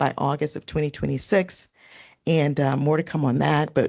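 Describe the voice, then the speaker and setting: A woman speaks with a very deep, low pitch. Her pace is fairly quick and her intonation fairly even. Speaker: VA women's health program leader. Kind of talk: town hall presentation. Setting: town hall, in person and online.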